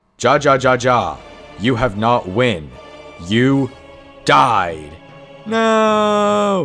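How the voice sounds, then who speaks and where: A man puts on a character voice at medium pitch, swinging very widely in pitch and talking at a very slow pace with long, frequent pauses over clear background music. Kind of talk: broken English. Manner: dramatic, emotional.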